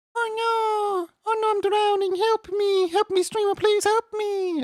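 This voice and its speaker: A put-on character voice pitched extremely high comes at a fairly slow pace. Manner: panicked, pleading.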